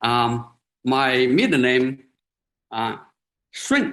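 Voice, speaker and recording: This man speaks with a Chinese accent. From China, Hunan countryside. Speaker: professor. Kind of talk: lecture. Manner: halting, many fillers.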